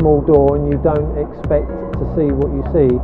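Music plays in the background. Over it, a man talks at a fairly quick pace. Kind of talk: interview answer. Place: gym. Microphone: lapel.

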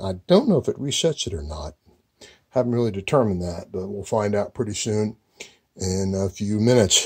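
The background is quiet. A man speaks in a dark, mellow tone. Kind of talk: tutorial. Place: workshop.

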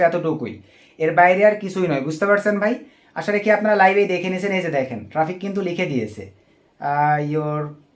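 A man's voice with a high pitch. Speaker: online marketing trainer. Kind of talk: tutorial. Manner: casual, addresses viewers as brother often.

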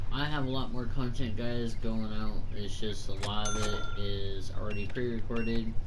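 A man talks with hardly any pauses, with noticeable background noise behind him. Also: moderate pace, very even loudness. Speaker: gaming YouTuber. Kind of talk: casual chat with frequent swearing. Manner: casual, profane, irritated.

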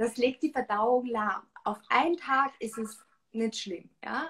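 Pitched high, a woman speaks at a very slow pace. Her pitch rises and falls an ordinary amount. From Austria, rural farm. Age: 20s. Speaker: nutrition coach and author; nutrition coach. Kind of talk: interview on Instagram live. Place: home room. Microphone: video call.

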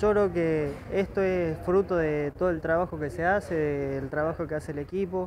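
A man's high-pitched voice with fairly even intonation, set against noticeable background noise. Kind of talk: interview answer. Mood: pleased, calm. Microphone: handheld.

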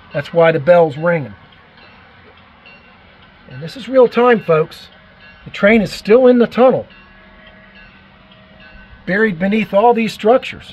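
Over music in the background, a man speaks at a fairly slow pace with long, frequent pauses. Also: lively intonation. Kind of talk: walkthrough commentary. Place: home room. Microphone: phone near.

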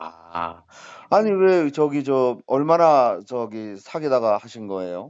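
A man at a very slow pace, medium pitch, very wide pitch swings and big swings in loudness. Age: 60s. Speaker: matchmaking channel host interviewing a client. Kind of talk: casual interview by phone.

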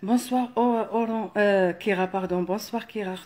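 A woman speaks with an Algerian accent. Her intonation is fairly even. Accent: Algerian Arabic with French code-switching. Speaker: live streamer. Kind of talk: live stream chat. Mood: warm, friendly. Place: home room. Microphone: phone near.

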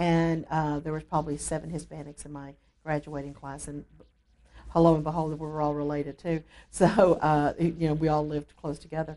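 A woman with a very deep, low pitch, a dark, mellow tone, a fairly quick pace and monotone, flat intonation. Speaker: interviewee. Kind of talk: interview answer. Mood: warm, smiling. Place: meeting room.

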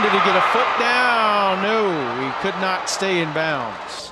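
There is noticeable background noise behind a man's voice. He speaks at a high pitch with ordinary pitch variation. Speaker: football play-by-play announcer. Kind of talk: live play-by-play commentary.

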